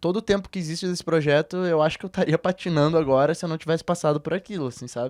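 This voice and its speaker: A man with a fairly high pitch talks at a very fast pace with hardly any pauses and fairly even intonation. The recording is very clean with a silent background, the sound dry and close with no echo. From southern Brazil, Rio Grande do Sul (Porto Alegre). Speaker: musician. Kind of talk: interview conversation. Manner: relaxed, hesitant with many fillers.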